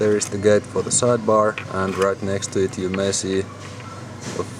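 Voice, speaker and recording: Speaking very slowly with a Finnish accent, a man with a fairly low voice is heard over noticeable background noise. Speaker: lock hobbyist. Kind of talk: tutorial. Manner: halting.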